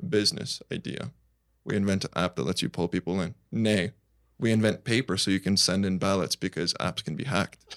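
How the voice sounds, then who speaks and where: Recorded very cleanly against a silent background with a dry, close sound and no echo, a man speaks in a plain, everyday voice at a fairly quick pace, his pitch fairly low with ordinary variation. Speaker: podcast host. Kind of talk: casual chat.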